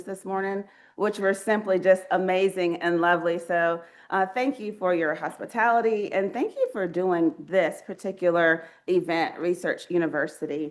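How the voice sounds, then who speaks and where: Speaking in a Southern US accent, a woman keeps a medium pitch, ordinary pitch variation and a moderate pace. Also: quiet background. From US Southeast. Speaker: research ethics leader. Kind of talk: keynote speech. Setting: stage with audience. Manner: conversational, interactive.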